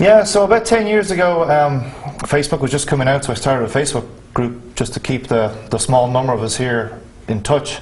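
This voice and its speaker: Amid noticeable background noise, a man with a Dublin accent speaks fairly quickly at a medium pitch with very wide pitch swings. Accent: Irish, Dublin. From Ireland, Dublin. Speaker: real estate agent. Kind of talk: interview.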